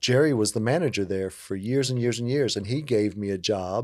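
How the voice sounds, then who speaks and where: With an American accent and an ordinary speaking voice, a man speaks at moderate pace, medium pitch and ordinary pitch variation on a very clean recording with a silent background. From coastal Virginia (Hampton). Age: 50s. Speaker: community outreach worker. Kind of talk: interview. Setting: studio discussion table. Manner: relaxed, conversational with fillers.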